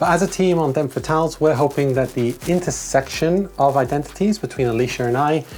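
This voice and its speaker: The voice has a relaxed tone, a fairly quick pace and lively intonation, with noticeable background noise behind it. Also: woman. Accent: Welsh. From Wales. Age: 30s. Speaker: video essayist. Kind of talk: video essay, casual vlog. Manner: relaxed, chatty.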